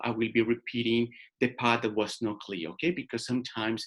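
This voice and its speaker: Speaking fairly quickly, a man with a Colombian accent uses a medium pitch. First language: Spanish. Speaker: career and life coach. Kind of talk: webinar workshop presentation. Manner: informal, interactive.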